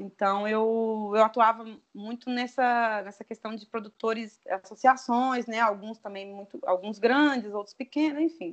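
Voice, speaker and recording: A woman speaks at a fairly slow pace with a fairly high pitch and hardly any pauses. Her intonation is fairly even, though her loudness swings widely. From Brazil, interior of Espírito Santo near Bahia border. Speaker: animal scientist, dairy consultant and entrepreneur. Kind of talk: casual interview. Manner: hesitant, many fillers.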